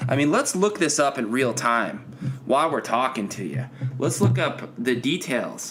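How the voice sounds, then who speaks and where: A man with a normal speaking voice talks at a medium pitch with lively intonation. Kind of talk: sarcastic podcast rant, promo-style callout addressed to a named person.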